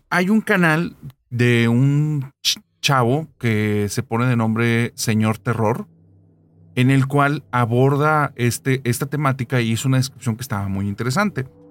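In a very clean recording with a silent background, a man speaks in a plain, everyday voice at medium pitch with ordinary pitch variation. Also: fairly slow pace. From Monterrey, northern Mexico. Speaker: podcast narrator. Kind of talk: casual chat with storytelling.

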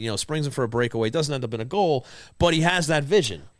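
A man with a plain, everyday voice, fairly high in pitch, with lively intonation at a fairly quick pace. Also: very clean recording, silent background. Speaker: podcast host. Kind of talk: casual chat. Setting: studio.

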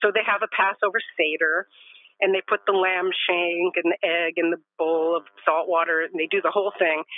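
This woman has a normal speaking voice, fairly low in pitch, with an American accent. She talks at a moderate pace with fairly even intonation. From Los Angeles, California. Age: 60s. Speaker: end of life educator and grief counselor. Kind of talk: casual interview conversation.

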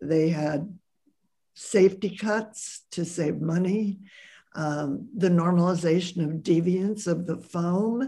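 With an American accent, this somewhat breathy voice moves at a very slow pace. The tone is dark and mellow, with ordinary pitch variation. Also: woman. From US Midwest, Columbus Ohio. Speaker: sociologist and author. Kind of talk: interview.

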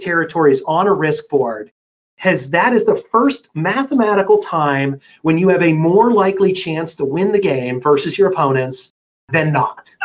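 At a moderate pace, a man with an American accent speaks at a high pitch. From Pittsburgh, western Pennsylvania. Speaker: cybersecurity company founder. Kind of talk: casual interview. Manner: frank.

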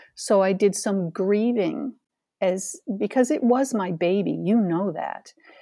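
Against a quiet background, a woman with an American accent and a dark, mellow tone speaks at a very slow pace in a medium pitch with ordinary pitch variation. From central New York State. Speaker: life coach. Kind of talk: interview.

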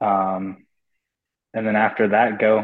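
A man speaks with a Californian accent. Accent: Californian American. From US West Coast, Los Angeles (Pasadena). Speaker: professional baseball player. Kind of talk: interview.

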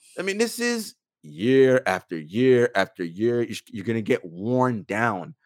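A man talks at a fairly slow pace from a medium pitch. His pitch swings very widely. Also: dry, close sound with no echo. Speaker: sports podcast host. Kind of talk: casual sports banter.

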